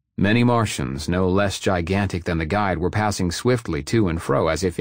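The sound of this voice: The speaker reads in an unforced reading voice, with ordinary variation in pitch.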